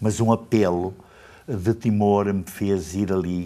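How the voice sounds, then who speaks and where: The speech moves at a very slow pace. Its tone is dark and mellow. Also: man. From Portugal. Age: 70s. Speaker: pastor. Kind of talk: interview.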